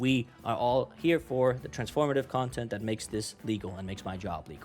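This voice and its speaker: A man with a non-native accent. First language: not English. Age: 20s. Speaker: YouTube reaction creator. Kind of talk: casual vlog intro. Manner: rambling, many fillers.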